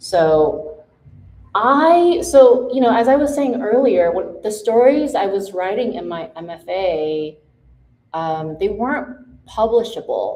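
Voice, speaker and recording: A woman with an American accent speaks at a fairly high pitch with very wide pitch swings, with audible room echo in the recording. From Taiwan and Los Angeles. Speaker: author. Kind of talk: author talk Q&A. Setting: event with audience and mic. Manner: casual, many fillers.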